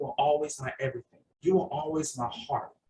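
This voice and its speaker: A man's fairly high-pitched, ordinary speaking voice, at a moderate pace with fairly even intonation. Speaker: poet and podcast host. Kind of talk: poetry reading. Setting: video call.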